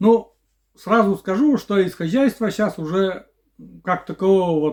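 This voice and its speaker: A man with a high-pitched voice at a very slow pace against a quiet background. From Komi Republic, Russia. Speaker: village vlogger. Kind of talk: casual Q&A vlog. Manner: halting, with fillers.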